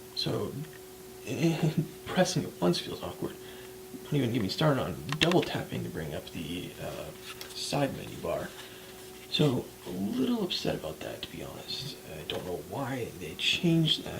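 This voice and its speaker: Someone soft-spoken talks at a moderate pace with long, frequent pauses over noticeable background noise. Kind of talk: ASMR soft-spoken product review.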